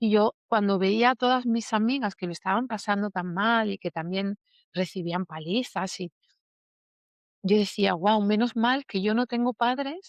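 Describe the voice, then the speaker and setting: A woman speaks in an unremarkable speaking voice at a medium pitch, with ordinary pitch variation and a fairly slow pace. The sound is dry and close with no echo over a quiet background. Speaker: emotional healing teacher. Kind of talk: interview testimony.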